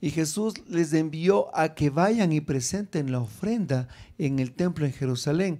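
A man speaks at a fairly high pitch with a dark, mellow tone. He goes fairly slowly. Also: lively intonation. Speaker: preacher teaching preachers. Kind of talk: sermon-style teaching with prayer. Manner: animated, fervent, exhorting the audience; rhetorical questions, emphatic repetition. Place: hall. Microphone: handheld.

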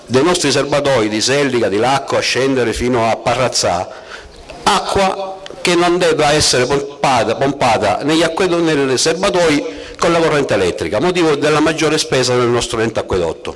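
A man talks at a moderate speed, his intonation lively. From Sicily. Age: 40s. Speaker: surveyor and council candidate; council candidate. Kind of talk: political rally speech. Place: street.

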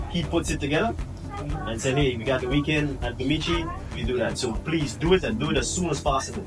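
With clear music in the background, a man talks. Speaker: visiting vlogger. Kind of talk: casual vlog chat. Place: kitchen. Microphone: phone near.

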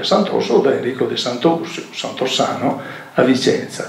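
A man at a moderate pace in a room with audible echo. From northern Italy (Veneto). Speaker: local historian and archaeology association president; speaker. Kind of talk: public lecture. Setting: stage with audience. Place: hall. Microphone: camera far.

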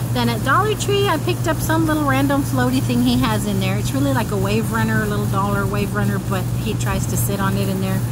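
Loud background noise sits behind a woman's voice. She talks at a fairly quick pace, and the sound is dry with no echo. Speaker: haul vlogger. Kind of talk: casual vlog chat. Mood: cheerful, chatty. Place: garden. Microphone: phone near.

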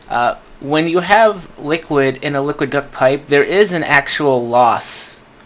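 A man with a US Northeast accent, a fairly high pitch and ordinary pitch variation. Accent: non-rhotic US Northeast. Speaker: gaming YouTuber. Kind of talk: gameplay commentary. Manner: casual, rambling with fillers.

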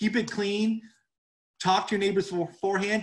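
A man speaks at a high pitch over a quiet background. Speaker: livestock educator. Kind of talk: webinar lecture. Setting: video call. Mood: friendly, informal.

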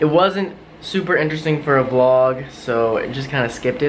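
At a moderate pace, a man speaks with ordinary pitch variation against light background noise. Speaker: travel vlogger. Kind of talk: casual vlog chat. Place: home room. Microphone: phone near.

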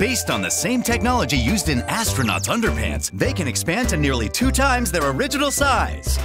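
With music playing behind him, a man talks at a fairly quick pace in an upbeat tone. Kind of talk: infomercial-style TV commercial read. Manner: upbeat, hard-sell.

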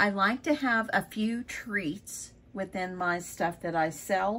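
A woman talks with lively intonation. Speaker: crafter vlogger. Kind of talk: casual vlog chat. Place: home room. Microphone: phone near.

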